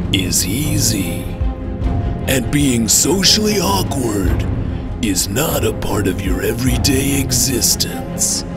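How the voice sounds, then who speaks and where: Loud music plays in the background while a man speaks at a very slow pace. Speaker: trailer voice-over announcer (parody). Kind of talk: movie trailer voice-over.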